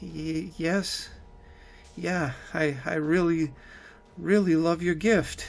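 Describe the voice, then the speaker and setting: Putting on a character voice, a man speaks very slowly and shakily at a high pitch, with long, frequent pauses. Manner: hesitant, stammering.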